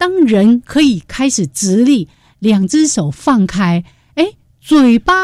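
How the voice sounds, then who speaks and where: This woman's fairly high pitch swings very widely, her tone dark and mellow, her pace moderate, in a dry, close sound with no echo. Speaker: radio host. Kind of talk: casual chat.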